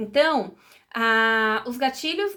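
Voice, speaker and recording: A woman speaks high with a bright, sharp tone and ordinary pitch variation. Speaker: psychologist. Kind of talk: educational talk. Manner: conversational, many fillers.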